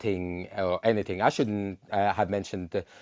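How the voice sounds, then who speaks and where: A man speaks with a non-native accent. The recording is very clean, with a silent background. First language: not English. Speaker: panelist. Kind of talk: heated debate. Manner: halting.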